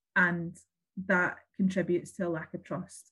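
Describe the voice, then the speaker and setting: A woman with a Glasgow accent, fairly low-pitched and somewhat breathy. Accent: Scottish (Glasgow). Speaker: local politician. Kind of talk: interview.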